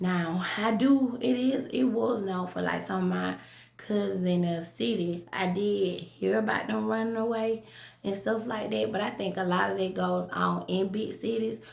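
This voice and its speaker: Speaking fairly slowly in a Southern US accent, a woman uses an animated tone amid audible room echo and noticeable background noise. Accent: country Southern. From US South, rural south Georgia. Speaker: vlogger. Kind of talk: casual monologue vlog.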